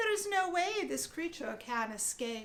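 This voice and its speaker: Doing a put-on character voice, a woman squeaks at an extremely high pitch with very wide pitch swings. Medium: read story.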